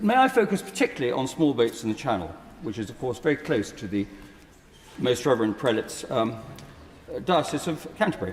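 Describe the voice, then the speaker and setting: A medium-pitched man at a very fast pace, with very wide pitch swings, long, frequent pauses and noticeable background noise. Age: 70s. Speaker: peer in parliamentary debate. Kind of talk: parliamentary speech. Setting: House of Lords chamber. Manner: formal.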